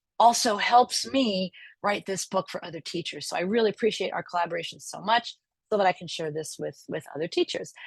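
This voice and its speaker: A woman speaks in a plain, everyday voice with an American accent, at medium pitch and a fairly quick pace, her intonation lively, in a dry, close recording with no echo and a quiet background. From New York, Long Island. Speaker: professor. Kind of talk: lecture. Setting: video call. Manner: casual, with many fillers.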